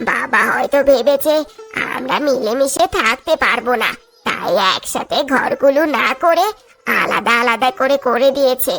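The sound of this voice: Over faint background music, a woman does a cartoonish character voice at a high pitch and a fairly slow pace.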